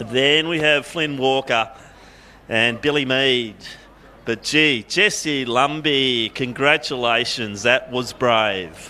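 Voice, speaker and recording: The speaker talks at a very slow pace in an Australian accent, with ordinary pitch variation. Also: man, medium pitch for a man. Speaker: athletics commentator. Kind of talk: live commentary.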